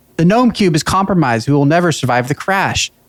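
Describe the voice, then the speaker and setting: Shouting in a high-pitched put-on character voice, a man goes at a very fast pace. The whole delivery is loud and rapid. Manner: yelling.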